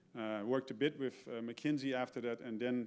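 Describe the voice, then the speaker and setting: A man with a Dutch accent speaks with fairly even intonation. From Netherlands. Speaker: keynote speaker, retired supply chain executive. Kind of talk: keynote talk. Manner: halting, many fillers and repeats.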